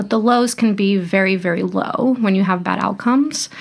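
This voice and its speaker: A woman's plain, everyday voice, medium in pitch, at a moderate pace with fairly even intonation. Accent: American. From Brazil, then Florida from age twelve. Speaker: medical intern in obstetrics and gynecology. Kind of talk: casual interview.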